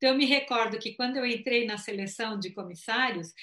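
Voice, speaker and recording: Her tone bright and sharp, a woman speaks at a moderate pace with a fairly high pitch and ordinary pitch variation. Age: 60s. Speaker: psychologist and former flight attendant. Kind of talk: live-stream interview.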